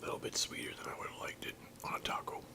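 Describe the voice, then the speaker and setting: Noticeable background noise sits under a fairly quick whisper. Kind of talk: ASMR eating video. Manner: whispered.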